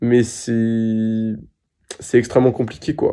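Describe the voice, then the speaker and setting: A man speaks at a medium pitch with a dark, mellow tone against a quiet background. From France. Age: 20s. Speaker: patient sharing testimony. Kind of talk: interview answer. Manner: hesitant, emotional.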